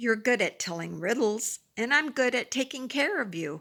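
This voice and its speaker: Using a put-on character voice, a female-sounding speaker talks at a moderate pace in a fairly high, raspy voice. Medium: read story.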